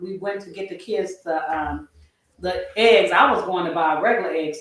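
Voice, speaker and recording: Using a normal speaking voice, a woman with an American accent talks at a moderate pace with ordinary pitch variation. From California. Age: 50s. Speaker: retiree lifestyle vlogger. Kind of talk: livestream chat. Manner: rambling casual.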